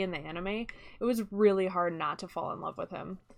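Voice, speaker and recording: Over music in the background, a woman talks at a medium pitch with fairly even intonation. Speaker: gaming streamer. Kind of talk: live stream chat. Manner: loud; casual, many fillers.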